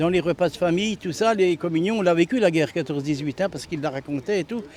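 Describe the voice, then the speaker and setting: With ordinary pitch variation, this man talks in a high pitch. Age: 70s. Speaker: retired army warrant officer at a remembrance ceremony. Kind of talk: interview. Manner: hesitant, with fillers.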